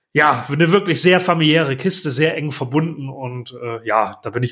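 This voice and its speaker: The voice has a bright, sharp tone, a moderate pace and ordinary pitch variation, in a very clean recording with a silent background. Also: man. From northern Germany, Lower Saxony. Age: 40s. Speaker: podcast host and blogger on volunteer clubs. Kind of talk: interview (being interviewed). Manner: hesitant with many fillers.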